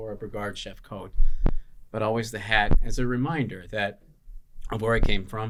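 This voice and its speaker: Man with a Chicago accent, medium pitch, ordinary pitch variation and a fairly quick pace. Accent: Chicago American English. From Chicago, US Midwest. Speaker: chef and restaurant owner. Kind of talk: podcast interview. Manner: casual, many filler words.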